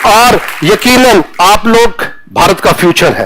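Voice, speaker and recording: A man with a Punjabi accent speaks in a high pitch with ordinary pitch variation. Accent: Punjabi-accented Hindi. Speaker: retired army general. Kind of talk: motivational talk to students. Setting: classroom.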